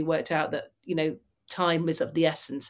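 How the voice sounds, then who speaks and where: A woman speaks at a fairly quick pace with a fairly low pitch and ordinary pitch variation. The recording is very clean, with a silent background. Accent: Mancunian. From Manchester, northern England. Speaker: former fighter pilot and motivational speaker. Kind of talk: interview.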